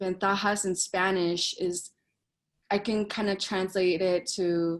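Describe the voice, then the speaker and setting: With an American accent, a woman speaks in a flat monotone over a quiet background. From Colorado. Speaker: motivational speaker, former program student. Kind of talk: welcome speech to students. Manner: casual, filler-heavy.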